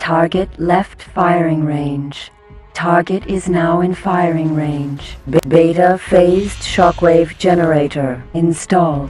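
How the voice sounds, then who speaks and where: In a put-on character voice at a middle pitch, the speaker goes at a fairly slow pace while faint music plays in the background. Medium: machinima. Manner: flat, monotone.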